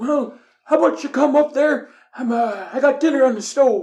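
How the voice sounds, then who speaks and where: A man's put-on character voice at an extremely high pitch and a moderate pace. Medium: actual play. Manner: folksy.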